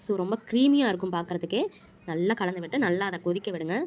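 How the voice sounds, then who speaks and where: A woman with ordinary pitch variation against noticeable background noise. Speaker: home cook. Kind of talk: cooking tutorial narration.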